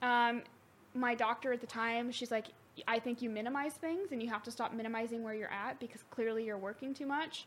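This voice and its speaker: This woman has an unremarkable speaking voice, fairly high in pitch. She talks at a fairly quick pace. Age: 20s. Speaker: returning guest, friend of host. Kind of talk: casual chat.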